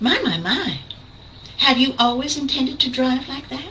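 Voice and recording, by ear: A woman uses a put-on character voice with a high pitch. She speaks at a moderate pace over clear background noise.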